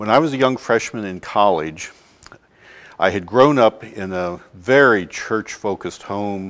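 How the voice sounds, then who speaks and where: An ordinary speaking voice at a moderate pace, with ordinary pitch variation and a quiet background. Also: man. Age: 60s. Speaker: church advocate. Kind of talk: testimony.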